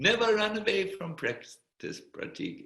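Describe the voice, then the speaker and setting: A man speaks with a slight German accent in a raised, projected voice. His tone is bright and sharp. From Germany. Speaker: spiritual teacher, monk. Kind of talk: Q&A at online spiritual retreat. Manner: hesitant, many fillers.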